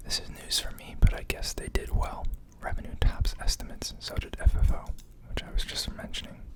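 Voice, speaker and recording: A man whispers at a fairly quick pace with big swings in loudness, noticeable background noise around him. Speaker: ASMR stock market video creator. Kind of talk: casual talk to camera, finance analysis. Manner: whispered, soft-spoken.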